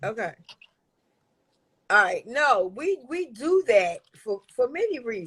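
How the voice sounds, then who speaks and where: A loud, high-pitched woman's voice, very slow, with very wide pitch swings and long, frequent pauses. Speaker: Instagram live host, business owner. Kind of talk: casual chat. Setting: Instagram live.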